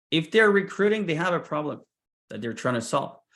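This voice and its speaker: A man's lively-toned speech with a non-native accent against a quiet background. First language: not English. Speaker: sales recruiter and founder. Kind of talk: presentation.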